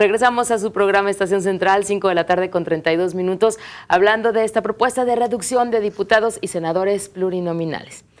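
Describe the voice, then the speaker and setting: Fairly even in intonation, a woman talks at a fairly quick pace. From Mexico. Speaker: TV talk show host. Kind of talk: moderated panel discussion. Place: studio. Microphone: lapel.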